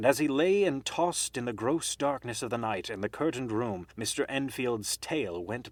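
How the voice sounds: The reading voice sounds natural. Intonation stays lively throughout.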